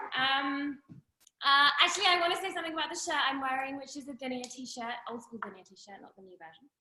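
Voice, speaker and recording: Speaking at a very fast pace with a British accent, a woman uses a raised, projected, high-pitched voice that swings a lot in loudness while her pitch varies in an ordinary way. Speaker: friend giving a birthday toast. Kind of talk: birthday toast on group video call. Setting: video call.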